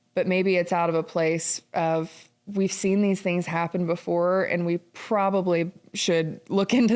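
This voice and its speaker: A woman with an unremarkable speaking voice, fairly low pitch, fairly even intonation and a fairly slow pace, on a very clean recording with a silent background. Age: 20s. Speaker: podcast host. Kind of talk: interview conversation.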